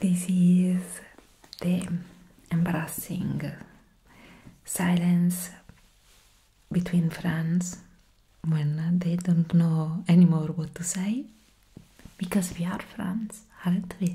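A soft-spoken woman talks at a very slow pace with long, frequent pauses, her fairly low, somewhat breathy voice dark and mellow in tone. Her intonation stays monotone and flat. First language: not English. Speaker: ASMR content creator. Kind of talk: soft-spoken ASMR ramble. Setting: home recording at a desk. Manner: giggly, rambling. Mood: grateful, playful. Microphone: studio mic.

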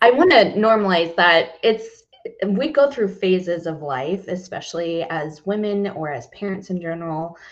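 Ordinary pitch variation runs through a woman's speech. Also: quiet background. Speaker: podcast guest. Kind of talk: interview answer. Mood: open, reflective. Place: home room.

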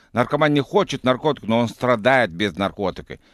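A man with a non-native accent speaks at a fairly quick pace with lively intonation. The sound is dry with no echo, over a quiet background. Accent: foreign accent in Russian. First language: not Russian (speaking Russian). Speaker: medical doctor, clinic head; guest. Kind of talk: radio interview. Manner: halting, stumbling restarts. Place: studio. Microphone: studio mic.

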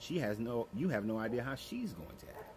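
A somewhat breathy man over light background noise. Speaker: relationship advice creator. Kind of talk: advice monologue. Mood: calm, earnest, lecturing. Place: garden. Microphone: phone near.

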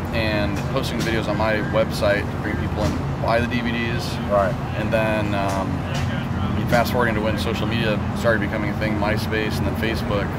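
Music can be heard in the background. Over it, a man speaks fairly quickly. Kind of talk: interview answer. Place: street.

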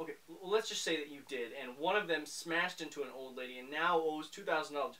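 Fairly quick speech from a man. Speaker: sketch actor presenting. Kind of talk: comedic scripted monologue. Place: home room.

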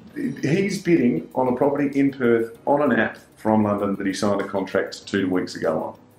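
With faint music behind him and audible room echo, a man talks at a moderate pace, his pitch swinging very widely. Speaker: real estate agent. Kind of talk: casual running commentary during online auction. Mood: excited, upbeat. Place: meeting room. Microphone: camera far.

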